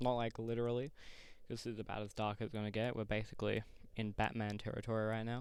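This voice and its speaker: A man's medium-pitched voice at a very fast pace, with monotone, flat intonation. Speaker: video diarist. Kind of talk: casual vlog monologue.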